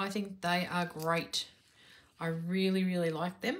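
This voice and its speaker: Her pace is moderate. The woman's intonation remains fairly even. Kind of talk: casual vlog chat. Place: home room. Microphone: phone near.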